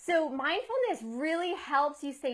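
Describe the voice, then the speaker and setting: A woman's voice with lively intonation. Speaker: life coach. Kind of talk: live video tip talk. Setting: live Facebook video.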